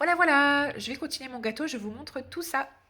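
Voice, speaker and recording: A woman speaks with a bright, sharp tone. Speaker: vlogger and nail technician. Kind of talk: casual vlog chat. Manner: hesitant, many fillers.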